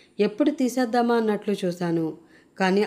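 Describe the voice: What we hear is plain reading aloud.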